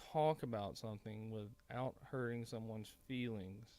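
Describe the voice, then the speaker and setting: Someone with a strong Southern US accent speaks in a very clean recording with a silent background. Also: man. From Mississippi. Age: 30s. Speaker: political commentator. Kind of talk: casual monologue commentary. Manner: halting, stumbling; animated.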